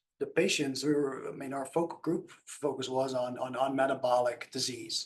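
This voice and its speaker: Fairly even intonation at a moderate pace with a Dutch accent. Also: man. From Netherlands. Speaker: nutrition scientist. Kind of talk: panel discussion. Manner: halting.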